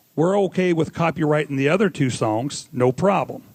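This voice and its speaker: Fairly quick and fairly high in pitch, a man speaks with a Missouri accent. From Missouri, US. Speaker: audience member asking a question. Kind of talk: audience Q&A. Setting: live audience. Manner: rambling, informal.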